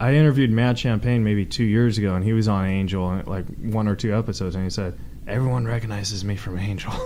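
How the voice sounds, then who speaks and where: A man talks at a very fast pace. The recording carries audible room echo and noticeable background noise. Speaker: podcast host. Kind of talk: casual chat. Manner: halting.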